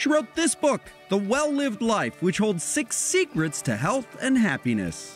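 A man at a fairly slow pace, loudness very even, with music in the background. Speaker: TV news reporter. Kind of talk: TV news feature narration.

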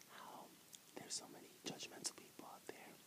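Whispering and soft-spoken, a man talks at a fairly quick pace over loud background noise. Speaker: ASMR eating vlogger. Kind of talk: casual vlog chat. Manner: soft whispered talk while eating bread. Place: home room. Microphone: earbuds.

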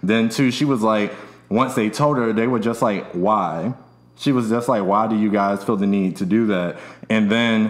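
A man talks in a normal speaking voice at a moderate pace. His intonation is fairly even and his loudness very even. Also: fairly low pitch for a man. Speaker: podcast host. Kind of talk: casual podcast chat. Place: studio. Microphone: studio mic.

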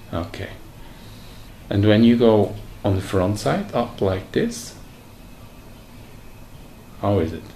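A man talks slowly in a dark, mellow tone at a fairly low pitch, with lively intonation, long, frequent pauses and audible room echo.

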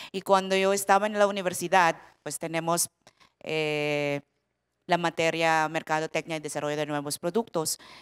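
A woman speaks at a moderate pace with a fairly low pitch. Her intonation stays fairly even against a quiet background. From Philippines. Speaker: product development director, panelist; panelist. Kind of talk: panel discussion on stage. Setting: conference stage with audience. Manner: halting. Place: stage. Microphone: handheld.

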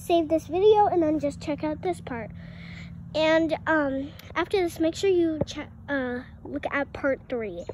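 A woman's extremely high voice at a moderate pace, with ordinary pitch variation, a dry sound with no echo, and light background noise. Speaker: home vlogger. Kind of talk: casual vlog chat. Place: garden. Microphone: phone near.

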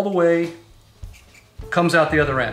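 At a moderate pace, a man speaks at a high pitch amid audible room echo and faint music in the background. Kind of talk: tutorial. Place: garage.

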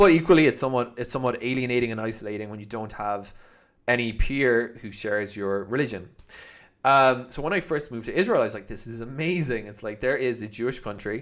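A man in a Cork accent speaks at a very fast pace with ordinary pitch variation and big swings in loudness against a quiet background. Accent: Irish (Cork). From Ireland. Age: 30s. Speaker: YouTuber. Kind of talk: vlog monologue. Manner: casual, hesitant with fillers. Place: home room. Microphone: studio mic.

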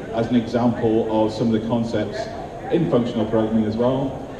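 A man at a fairly quick pace, with clear background noise

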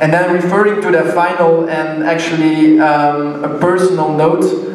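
A man speaks at a moderate pace. Audible room echo and light background noise are present. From Belgium. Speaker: sponsor representative. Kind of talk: ceremony speech. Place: hall.

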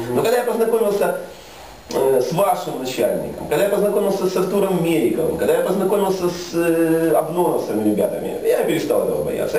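A man talks at a fairly quick pace. Audible room echo and light background noise are present. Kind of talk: informal talk to a small audience. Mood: earnest, animated storytelling. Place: office. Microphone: camera far.

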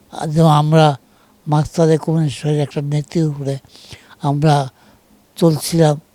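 A man's fairly high-pitched voice with a dark, mellow tone, flat and monotone in intonation, recorded with a dry, close sound and no echo. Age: 70s. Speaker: retired politician. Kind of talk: interview. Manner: halting.

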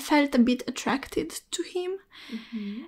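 A high-pitched woman's voice in a Romanian accent. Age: 20s. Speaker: student. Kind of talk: casual chat.

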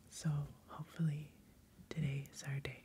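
A soft-spoken woman with a relaxed tone talks at a very slow pace over light background noise. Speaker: ASMR host and board game player. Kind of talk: soft-spoken ASMR board game playthrough. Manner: soft-spoken, casual, relaxed. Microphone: studio mic.

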